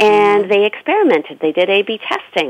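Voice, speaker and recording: This voice is a normal speaking voice with a Canadian accent. The pace is moderate. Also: woman. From Canada. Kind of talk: panel discussion. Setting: phone call.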